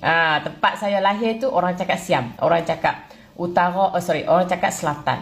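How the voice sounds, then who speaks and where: A somewhat breathy woman's voice at medium pitch, in a northern Malaysian accent. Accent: northern Malaysian (Kedah-like) Malay. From southern Thailand. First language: Thai (speaking Malay). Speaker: Thai Malay speaker interviewed. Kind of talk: casual chat answering viewer question. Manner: halting with repetitions.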